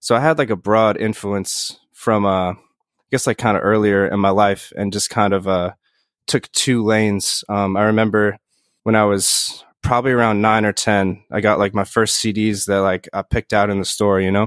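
A normal speaking voice with an American accent, heard dry and close with no echo on a very clean recording with a silent background, keeps a fairly even intonation at a moderate pace. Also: man, fairly low pitch for a man. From New York, Bronx/Yonkers then Hudson Valley (Poughkeepsie). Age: 20s. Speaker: rock band musician. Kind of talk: casual interview.

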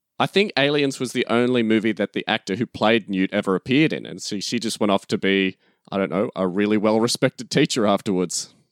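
A man's fairly low voice with an Australian accent, very fast with hardly any pauses, ordinary pitch variation, dry, close sound with no echo and a very clean recording against a silent background. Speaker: podcast co-host, guest. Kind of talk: casual chat. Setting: at home, noisy neighbor.

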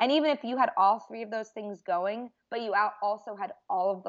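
A woman with an unremarkable speaking voice talks at medium pitch and a moderate pace, her pitch varying in an ordinary way. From Boston, US. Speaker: registered dietitian. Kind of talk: casual interview.

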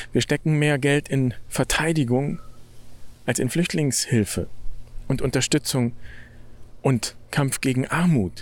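The speech is very slow, with long, frequent pauses, very even loudness and ordinary pitch variation, on a very clean recording with a silent background. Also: man, fairly high pitch for a man. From Germany. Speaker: podcast host, Franciscan friar. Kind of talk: reflective monologue. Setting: outdoors, walking in nature.

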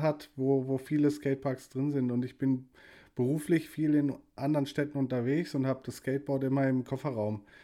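On a very clean recording with a silent background, a man with a dark, mellow tone speaks at a fairly high pitch and a moderate pace in a monotone, flat intonation. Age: 40s. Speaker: podcast host. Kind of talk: casual chat.

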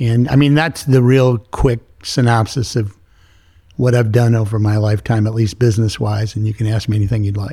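His voice comes across as somewhat breathy, pitched in a medium range. The man talks fairly quickly. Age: 60s. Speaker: business leader. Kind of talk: interview. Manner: animated.

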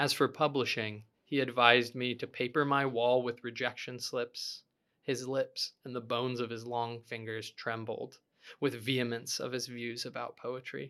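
The recording is very clean, with a silent background. A man with an American accent speaks in a bright, sharp tone and a monotone, flat intonation. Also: medium pitch for a man, moderate pace. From Utah. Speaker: poet and teacher. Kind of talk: casual conversation about poetry, with readings aloud. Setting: studio.

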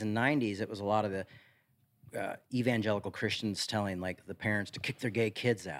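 A man with an American accent and a plain, everyday voice talks at a fairly quick pace, with fairly low pitch and ordinary pitch variation. The recording is very clean, with a silent background. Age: 40s. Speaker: pastor. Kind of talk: casual chat.

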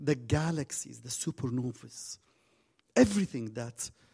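With a non-native accent, a man talks at a fairly slow pace in a dark, mellow, somewhat breathy tone. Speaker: guest preacher. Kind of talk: sermon. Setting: church stage with audience. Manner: halting.

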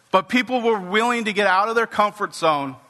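A man projects a raised voice with a bright, sharp, animated tone. He moves at a moderate pace with ordinary pitch variation. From US West Coast, Santa Cruz, California. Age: 40s. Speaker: pastor. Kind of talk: sermon. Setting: church with congregation.

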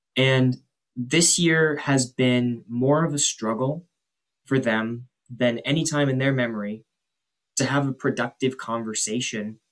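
A man talks at a fairly slow pace and medium pitch, in an ordinary speaking voice. His pitch varies in an ordinary way. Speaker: political campaign worker.

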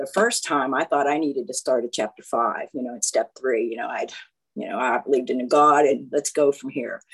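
At a fairly quick pace, a woman with a very deep, low pitch speaks in a dry, close sound with no echo. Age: 60s. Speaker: 12-step meeting speaker. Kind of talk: testimony.

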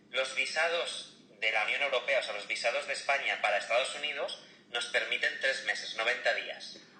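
A man speaks at a moderate pace in a room with audible echo and noticeable background noise. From Barcelona, Spain. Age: 30s. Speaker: car salesman. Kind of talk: casual chat.

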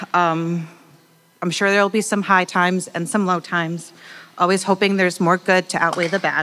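A woman speaks at a moderate pace with a medium pitch and fairly even intonation. Noticeable background noise is present. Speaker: church member sharing testimony. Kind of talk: reading aloud. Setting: church with audience.

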